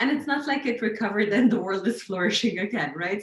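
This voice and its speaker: Speaking with an Arabic accent, a woman goes at a fairly quick pace with lively intonation. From Lebanon. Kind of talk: casual chat.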